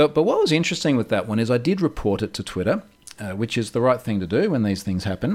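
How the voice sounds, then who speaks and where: A man with an Australian accent at a medium pitch, very wide pitch swings and a very fast pace. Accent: Australian, audible. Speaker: security researcher. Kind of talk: interview conversation.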